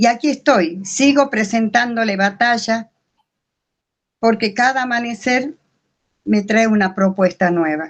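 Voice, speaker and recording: Here a woman talks at a very slow pace. Her pitch is fairly high, with ordinary variation. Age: 70s. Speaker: course participant. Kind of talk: reading aloud own writing.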